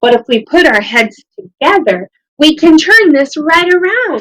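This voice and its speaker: Using a put-on character voice, a woman speaks at a high pitch. Her pace is moderate. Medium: read story.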